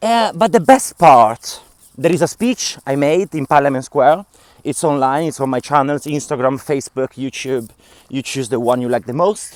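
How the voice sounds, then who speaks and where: A man with a strong non-native accent speaks at a moderate pace in a fairly high pitch with lively intonation. The sound is dry and close with no echo. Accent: strong foreign. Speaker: vlogger and activist. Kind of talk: casual vlog monologue. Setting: outdoors.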